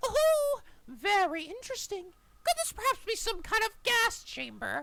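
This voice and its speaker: A squeaky, cartoonish character voice moves at a moderate pace with extremely high pitch. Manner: smug, theatrical.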